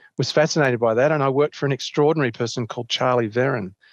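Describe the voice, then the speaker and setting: With an Australian accent, a man speaks at a medium pitch with ordinary pitch variation. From Australia, Canberra. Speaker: ecologist professor. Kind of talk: interview.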